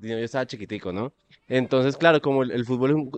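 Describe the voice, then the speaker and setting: A man of medium pitch in a normal speaking voice, fairly even intonation and a dry, close sound with no echo. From Colombia, Tuluá (Valle del Cauca). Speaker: podcast co-host. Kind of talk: casual chat.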